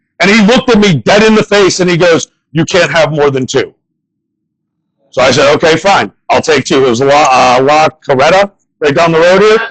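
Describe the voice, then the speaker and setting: With an American accent and an ordinary speaking voice, a man speaks at a moderate pace and fairly high pitch, with lively intonation, very even loudness and a dry, close sound with no echo. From northern US. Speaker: comedian. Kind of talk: stand-up.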